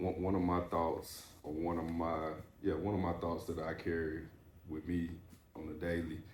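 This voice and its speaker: Long, frequent pauses, a moderate pace, a somewhat breathy voice and monotone, flat intonation, with audible room echo. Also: man, very deep, low pitch for a man. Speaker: podcast host, former athlete. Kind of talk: casual interview chat. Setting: barber shop.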